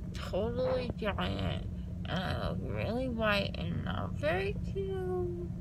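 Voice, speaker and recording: Over loud background noise, a woman speaks in a dry sound with no echo. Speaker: vlogger after dental surgery. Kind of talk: casual vlog chat. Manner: numb, slurred post-surgery speech. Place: car. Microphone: phone near.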